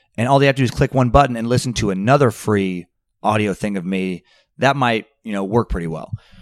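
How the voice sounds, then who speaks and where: In a normal speaking voice, a man with an American accent talks fairly quickly with lively intonation. The recording is very clean with a silent background and a dry, close sound with no echo. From Idaho, US. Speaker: comedian and podcaster. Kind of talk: casual chat. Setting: hotel.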